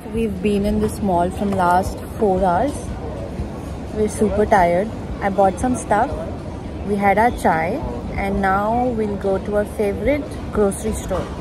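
Music plays behind a woman who speaks at a fairly slow pace with long, frequent pauses, the sound dry with no echo. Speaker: vlogger. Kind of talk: casual vlog chat. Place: market. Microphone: phone near.

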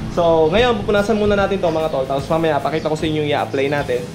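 A man speaking at a very fast pace, with clear music in the background. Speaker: motovlogger. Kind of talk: casual tutorial vlog chat. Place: garage. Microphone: phone near.

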